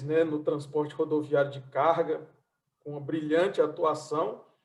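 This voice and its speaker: At a very slow pace, a man speaks with a northeastern Brazilian accent. His fairly high voice stays monotone and flat. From Brazilian Northeast, Fortaleza. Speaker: transport consultant and event host. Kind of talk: online event presentation. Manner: halting.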